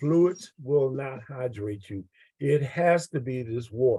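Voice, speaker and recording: A man with a dark, mellow tone speaks somewhat breathily, his intonation lively. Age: 70s. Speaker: product distributor sharing testimony. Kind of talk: testimony. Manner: animated.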